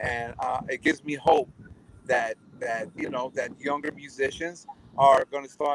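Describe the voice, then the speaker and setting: This man's voice sits fairly high, and he talks at a moderate pace. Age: 60s. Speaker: drummer. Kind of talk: interview. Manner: halting.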